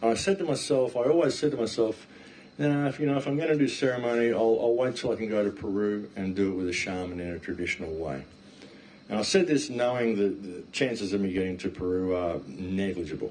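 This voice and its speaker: Talking at a very fast pace, a man with an Australian accent has a fairly low pitch. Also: lively intonation. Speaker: talk guest, speaker. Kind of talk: talk to an audience. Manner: animated.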